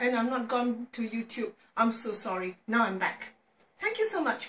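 A woman talks at a fairly slow pace with audible room echo. Music sounds in the background. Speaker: home cook vlogger. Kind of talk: casual cooking tutorial chat. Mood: cheerful, playful. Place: kitchen. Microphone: camera far.

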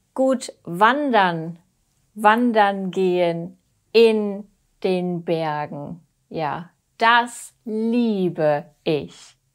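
A woman speaks at a medium pitch with lively intonation and a very slow pace. Her long, frequent pauses stand out against a quiet background. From Germany. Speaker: language teacher. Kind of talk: tutorial. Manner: repetitive. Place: home room. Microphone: lapel.

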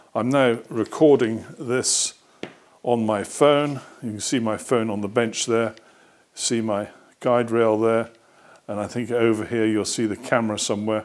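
The speaker moves at a fairly slow pace with monotone, flat intonation. Long, frequent pauses break up the speech over a quiet background. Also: man. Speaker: hobbyist reviewer. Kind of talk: tutorial. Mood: relaxed, amused. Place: workshop.

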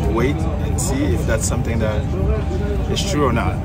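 A man talks with clear music in the background. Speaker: travel vlogger. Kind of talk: casual vlog chat. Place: plane. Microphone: phone near.

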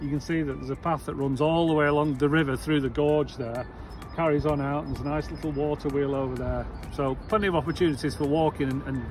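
A man talks very fast, with music playing in the background. The sound is dry, with no echo. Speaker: travel vlogger. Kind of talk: casual vlog chat. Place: street. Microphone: phone near.

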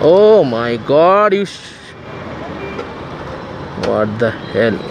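A man speaks at a very slow pace, medium in pitch, with big pitch swings and vocal fry. Faint background noise is present.

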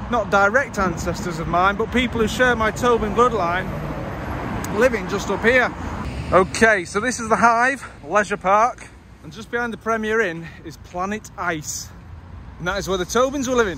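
A man's raised, projected voice at a moderate pace, with big swings in loudness and ordinary pitch variation, dry with no echo but with noticeable background noise. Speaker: vlogger on a local history walk. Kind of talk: casual vlog chat. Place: street. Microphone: phone near.

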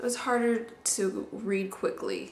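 A woman talks at a very slow pace. Noticeable noise sits in the background. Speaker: book reviewer. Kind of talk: casual talk to camera. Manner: hesitant, many filler words.

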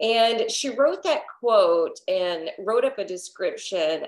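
Her pace is very slow. This woman's pitch swings very widely. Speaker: yoga teacher. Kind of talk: casual class introduction story. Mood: warm and cheerful. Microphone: webcam.

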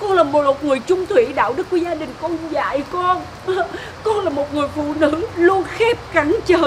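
A woman speaks at an extremely high pitch over noticeable background noise. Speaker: actress in a skit. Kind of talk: dramatic acted dialogue. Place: open country.

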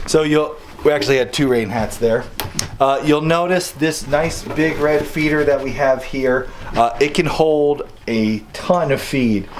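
A man speaks at a fairly slow pace in a medium pitch. Faint background noise is audible.

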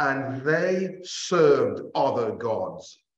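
Room echo can be heard as a man talks. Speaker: bible class teacher. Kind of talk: sermon. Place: hall.

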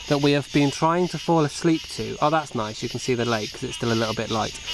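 Noticeable background noise runs under the speech. The sound is dry, with no echo. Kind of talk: casual vlog chat. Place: waterside. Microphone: phone near.

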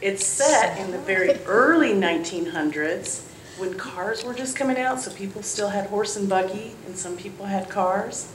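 Light background noise and audible room echo around a woman talking at a moderate pace. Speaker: children's storyteller. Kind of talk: storytelling to children. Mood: warm, cheerful. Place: church.

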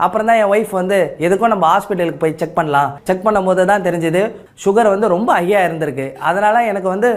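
A man speaks with a high pitch and very even loudness. His pitch variation is ordinary. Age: 30s. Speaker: auto rickshaw driver giving testimonial. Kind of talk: testimony.

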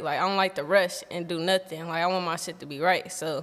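The tone is bright and sharp. The pace is fairly quick. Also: woman. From Los Angeles. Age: 20s. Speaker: musician and reality TV cast member. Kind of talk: casual chat. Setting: studio. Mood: relaxed, candid storytelling. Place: studio. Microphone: studio mic.

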